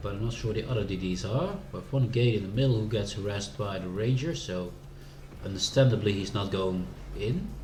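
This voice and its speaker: Through audible room echo and noticeable background noise, a man with a Dutch accent speaks at a fairly quick pace in a fairly low pitch, with ordinary pitch variation. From Netherlands. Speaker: video game streamer. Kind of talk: casual gameplay commentary. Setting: live stream.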